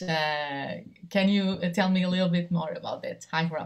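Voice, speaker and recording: Somewhat breathy and fairly low-pitched, a woman talks at a fairly slow pace with ordinary pitch variation. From Portugal. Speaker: television journalist, moderator. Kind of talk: panel discussion.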